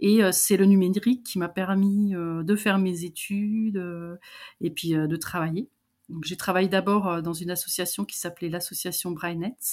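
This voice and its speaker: In a very clean recording with a silent background, a woman is heard. She talks at a moderate pace. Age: 50s. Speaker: digital accessibility consultant. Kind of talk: interview. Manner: halting.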